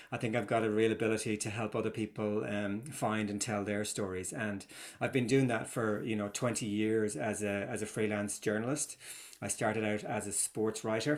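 A man talks at a moderate pace and fairly low pitch with fairly even intonation. It is an ordinary speaking voice. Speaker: storytelling consultant. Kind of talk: casual interview. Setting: remote interview across time zones.

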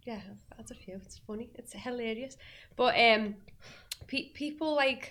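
A woman speaks with a Liverpool accent at a high pitch. Her loudness swings widely, while her pitch variation is ordinary. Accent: Scouse. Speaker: singer and actress. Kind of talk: casual chat. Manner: animated.

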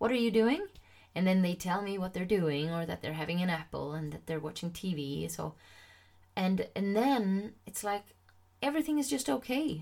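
A woman with a Swedish accent talks at a moderate pace in a medium pitch, her voice making very wide pitch swings. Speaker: confidence coach and podcast host. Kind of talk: solo podcast monologue. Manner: casual, many fillers.

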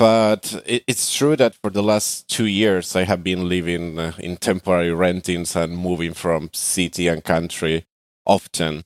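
A man talks at a fairly slow pace in a very deep, low pitch with a Spanish accent. The recording is very clean with a silent background. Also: fairly even intonation, dry, close sound with no echo. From Argentina. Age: 20s. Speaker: digital nomad. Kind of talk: podcast interview. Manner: hesitant, many fillers.

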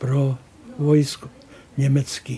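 Very slowly and in a monotone, flat intonation, a man with a fairly high pitch speaks in a dark, mellow tone that is somewhat breathy. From northern Bohemia, near Teplice. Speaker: painter. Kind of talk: interview reminiscence.

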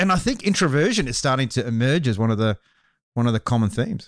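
The recording is very clean, with a silent background. A man talks with very wide pitch swings. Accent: Australian. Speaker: podcast host. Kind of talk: casual interview. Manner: energetic.

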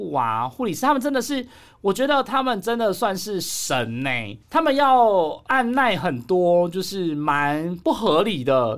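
A man with a high voice speaks with very wide pitch swings. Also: very clean recording, silent background. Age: middle-aged. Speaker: podcast host. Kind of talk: casual chat.

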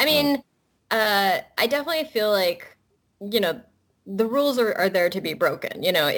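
Her intonation lively, a woman talks at a moderate tempo. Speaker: cartoonist and author. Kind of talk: interview. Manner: casual, hesitant, laughing.

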